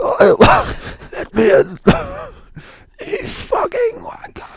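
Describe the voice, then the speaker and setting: A man puts on a raspy character voice at an extremely high pitch. He talks at a very slow pace. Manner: rude, demanding.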